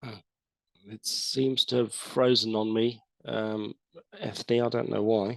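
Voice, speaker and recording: Pausing long and often, a man with an English accent speaks at medium pitch in a monotone, flat intonation. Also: dry, close sound with no echo. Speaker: environmental scientist. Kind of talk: webinar presentation. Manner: hesitant, many fillers.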